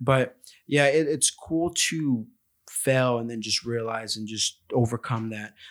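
A man talks in a normal speaking voice at a medium pitch. His pace is fairly slow, and his pitch varies in an ordinary way. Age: 20s. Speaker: podcast host. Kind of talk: casual interview chat.

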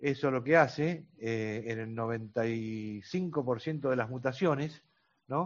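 Very slowly, a man talks in a medium pitch with ordinary pitch variation. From Argentina. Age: 60s. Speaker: grandparent advocate for cystic fibrosis patients. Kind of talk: interview. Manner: halting, many fillers (este, eh).

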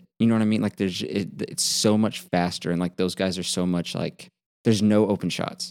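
Here a man with a plain, everyday voice talks at a fairly quick pace in a fairly low pitch. His pitch variation is ordinary, and the recording is very clean with a silent background. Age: 20s. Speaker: podcast co-host. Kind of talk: casual chat.

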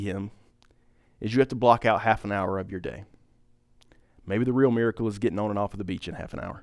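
A man talks at a very fast pace. He leaves long, frequent pauses. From US, small town (Pine Top). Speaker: lay church leader preaching. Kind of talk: sermon. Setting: church gathering with audience. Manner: halting, many fillers.

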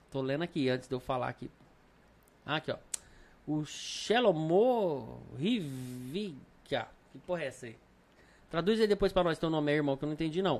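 Speaking at a moderate pace with long, frequent pauses, a man uses lively intonation at a fairly high pitch. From Brasília, Brazil. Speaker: podcast host. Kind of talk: casual chat. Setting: studio, live stream.

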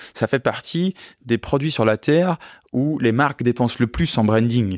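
In a very clean recording with a silent background and a dry, close sound with no echo, a man speaks at a moderate pace with a medium pitch and ordinary pitch variation. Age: 20s. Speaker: luxury car rental entrepreneur. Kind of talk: interview. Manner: halting.

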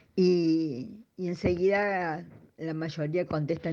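A woman talks at a fairly slow pace in a fairly low pitch with fairly even intonation. Her tone is dark and mellow. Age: 70s. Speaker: herbal therapist. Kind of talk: recorded interview answers.

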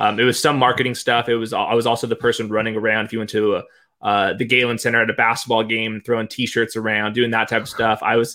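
An American-accented man at a medium pitch. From Southern California. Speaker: fantasy football analyst.

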